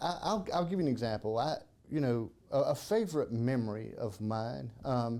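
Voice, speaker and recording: In a strong South Carolina accent, a man speaks in a dark, mellow tone with very wide pitch swings. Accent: Southern (South Carolina), thick. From South Carolina (Kershaw). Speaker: podcast host. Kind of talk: casual interview.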